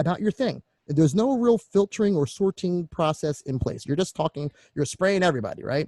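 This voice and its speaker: A man with an American accent speaks very fast with lively intonation, his high pitch carrying a dark, mellow tone in a dry, close recording with no echo. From Philadelphia, US. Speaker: online marketing coach. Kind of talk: online course presentation. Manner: animated.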